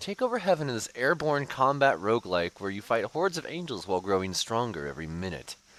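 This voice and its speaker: Speaking at a moderate pace, a man with a medium-pitched, bright and sharp voice swings very widely in pitch and shows vocal fry. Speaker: VTuber streamer. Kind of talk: livestream commentary. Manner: stuttering today; casual.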